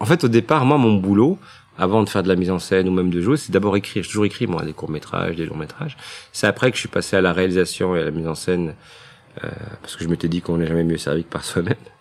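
Speaking at a very fast pace, a man with a very deep, low pitch uses ordinary pitch variation. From Belgium, Brussels. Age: 40s. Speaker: playwright and director. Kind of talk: casual interview. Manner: hesitant, many fillers.

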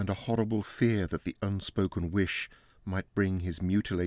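The text is read aloud in a natural voice. Intonation stays fairly even.

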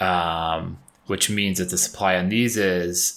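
A man with an upstate New York accent, very deep, low pitch, ordinary pitch variation and a very slow pace, in a very clean recording with a silent background. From Syracuse, New York. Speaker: podcast host. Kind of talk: casual chat, podcast. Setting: home recording.

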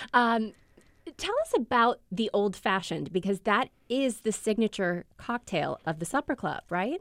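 An ordinary speaking voice, a woman with an American accent, fairly high in pitch, lively in intonation and fairly slow in pace, dry and close with no echo. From US Midwest. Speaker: food writer and interviewer. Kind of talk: interview.

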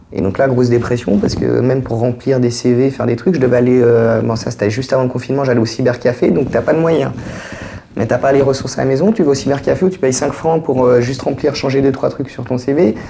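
A man at a medium pitch and very fast pace, ordinary pitch variation, with noticeable background noise. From Geneva, Switzerland. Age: 40s. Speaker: social assistance recipient. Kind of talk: casual conversation. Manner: hesitant, with fillers.

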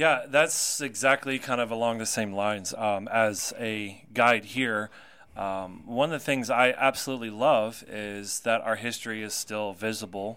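Speaking in a bright, sharp tone with an American accent, a man shows big swings in loudness. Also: very clean recording, silent background. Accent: Southern US, comes and goes. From North Carolina. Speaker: radio host and tour guide. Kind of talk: casual chat. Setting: studio.

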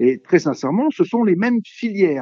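A man talks in a plain, everyday voice. His pace is moderate. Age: 60s. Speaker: veterinarian. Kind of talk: interview. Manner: formal.

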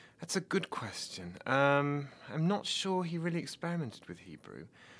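On a very clean recording with a silent background, a man speaks with an English Midlands accent. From England, Nottingham. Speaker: PhD student and translator. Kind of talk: interview.

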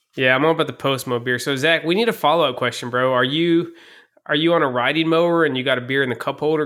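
Here a man speaks at a very fast pace. His intonation stays fairly even. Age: 30s. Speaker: wrestling podcast host. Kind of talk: casual chat.

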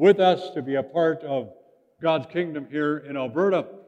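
Fairly high-pitched male speech in a plain, everyday voice, moderately paced, with ordinary pitch variation. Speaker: pastor. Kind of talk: sermon. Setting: church.

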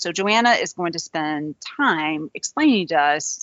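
A woman speaks with a Southern US accent at a fairly low pitch. Her intonation is lively. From US South, Georgia. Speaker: interviewer, cancer researcher host. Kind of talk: interview, conversational. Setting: video call. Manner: animated, enthusiastic.

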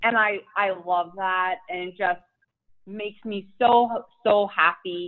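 A speaker with a Philadelphia accent talks at a very slow pace, with fairly even intonation. The loudness swings widely from moment to moment. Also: woman, medium pitch for a woman. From Philadelphia, US. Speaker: fitness influencer and mom. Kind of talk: casual interview chat.

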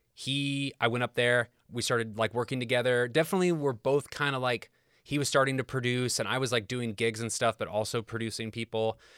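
A man with an American accent speaks at a medium pitch, in a normal speaking voice with fairly even intonation. The recording is very clean with a silent background, and the sound is dry and close with no echo. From Indiana (Kokomo), US Midwest. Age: 40s. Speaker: session guitarist. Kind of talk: casual chat. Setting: home basement.

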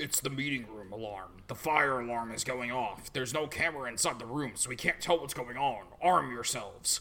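With light background noise behind him, a man does a put-on character voice at a medium pitch and a fairly quick pace. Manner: urgent, gruff.

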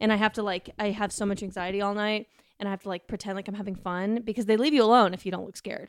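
A woman at a very fast pace, medium in pitch, with a General American accent, fairly even intonation and big swings in loudness, on a very clean recording with a silent background and a dry, close sound with no echo. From US West, Colorado (Denver). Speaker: podcast guest. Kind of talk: casual chat.

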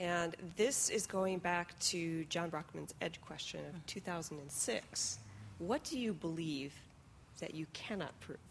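With vocal fry, a woman speaks at a very slow pace. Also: fairly low pitch for a woman, ordinary pitch variation. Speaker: question moderator. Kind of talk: audience Q&A. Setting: stage with audience.

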